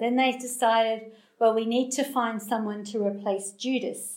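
Speaking in an Australian accent, a woman uses a fairly high pitch with fairly even intonation. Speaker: guest preacher, anti-trafficking charity founder. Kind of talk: sermon. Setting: church room with small audience. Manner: halting, many fillers.

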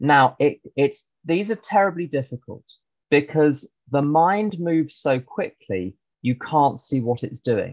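A man with fairly high pitch and lively intonation speaks in an ordinary speaking voice, with a dry, close sound and no echo. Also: fairly slow pace. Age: 50s. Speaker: recovering alcoholic speaker. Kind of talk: testimony. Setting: video call.

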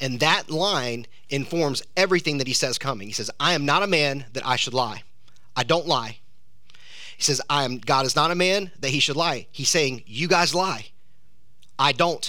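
In a Southern US accent, a man talks at a moderate pace with a fairly high pitch, a bright, sharp tone, and ordinary pitch variation. Long, frequent pauses break his speech, and audible room echo surrounds it. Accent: Southern US (Georgia). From US South, South Georgia. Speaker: pastor. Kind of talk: sermon. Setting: church.

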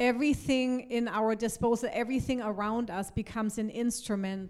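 Fairly even intonation and a fairly slow pace in a woman's speech. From Germany. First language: German (speaking Spanish). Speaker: pastor. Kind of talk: sermon.

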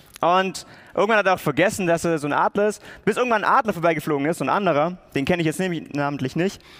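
In an animated tone, a man speaks at a fairly quick pace. His pitch is high. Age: 20s. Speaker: theology student. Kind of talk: sermon.

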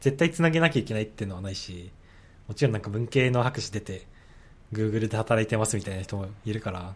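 A man speaks at a fairly quick pace, somewhat breathy. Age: 20s. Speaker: graduate student. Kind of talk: casual chat.

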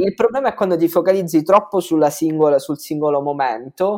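Delivered very fast, the speech keeps ordinary pitch variation. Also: man. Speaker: content creator. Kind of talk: casual interview.

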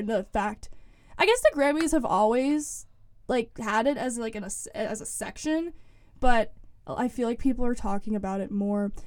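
A woman has a normal speaking voice with a fairly high pitch. She talks at a moderate pace with lively intonation. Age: young. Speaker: student newspaper lifestyle editor. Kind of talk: casual interview. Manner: casual, filler-heavy speech.

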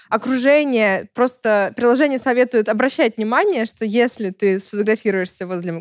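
This woman has an ordinary speaking voice, fairly high in pitch with ordinary pitch variation, captured with a dry, close sound and no echo. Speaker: expert on dating apps. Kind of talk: casual discussion.

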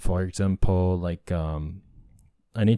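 In a Japanese accent, a man speaks very slowly in a very deep, low pitch with a dark, mellow tone, on a very clean recording with a silent background. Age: 30s. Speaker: podcast host. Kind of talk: casual monologue. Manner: halting.

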